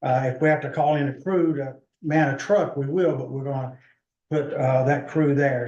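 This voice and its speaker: At a moderate pace, a man with an American accent speaks in a fairly high pitch with monotone, flat intonation. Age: 60s. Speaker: EMS service manager presenting to county commission. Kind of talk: public meeting presentation. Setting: county commission meeting.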